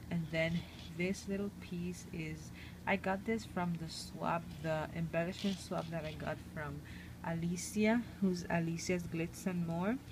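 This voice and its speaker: A soft-spoken woman with a fairly low, somewhat breathy voice talks at a fairly slow pace, with audible room echo. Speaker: crafting video maker. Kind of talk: crafting show-and-tell. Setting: at home. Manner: hesitant, many fillers.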